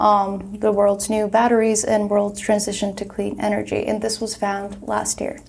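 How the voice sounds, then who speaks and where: In a Turkish accent, a woman talks at a medium pitch with monotone, flat intonation. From Turkey, Istanbul. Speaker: graduate student, panelist. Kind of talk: panel discussion.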